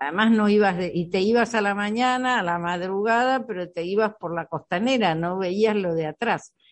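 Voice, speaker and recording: A woman speaks in an unremarkable speaking voice at medium pitch and a moderate pace. She has ordinary pitch variation and hardly any pauses. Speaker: architect, activist. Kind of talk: radio interview.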